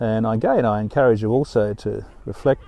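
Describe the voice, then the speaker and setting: Medium in pitch, this man talks with an Australian accent. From Western Australia, Fremantle. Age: 70s. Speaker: doctor. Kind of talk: personal storytelling monologue. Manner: reflective, with frequent hesitations.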